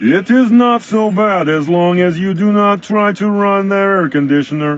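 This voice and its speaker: A man's put-on character voice, high-pitched, at a moderate pace with light background noise. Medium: video game. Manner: stiff, formal, no contractions.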